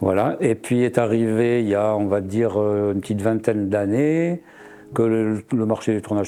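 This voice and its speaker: A man's fairly low voice with fairly even intonation and noticeable background noise. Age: 70s. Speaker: ceramic artist and woodturner. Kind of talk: interview. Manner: hesitant, many fillers.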